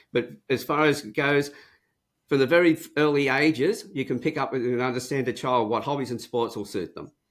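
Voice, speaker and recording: The speaker has an Australian accent and keeps a moderate pace. The recording is very clean, with a silent background. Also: man. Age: 70s. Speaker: profiling and communications trainer. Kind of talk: interview.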